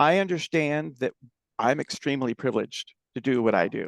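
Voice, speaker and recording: A man with an ordinary speaking voice, fairly high in pitch, at a moderate pace, in a dry, close sound with no echo. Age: 60s. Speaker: nonprofit fundraising consultant. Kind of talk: podcast interview, casual chat.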